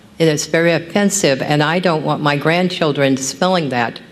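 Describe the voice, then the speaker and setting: A fairly low-pitched woman's voice with an American accent and ordinary pitch variation, amid noticeable background noise. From California, Central Valley foothills. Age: 70s. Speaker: public commenter. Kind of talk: public comment at a meeting. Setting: county board meeting.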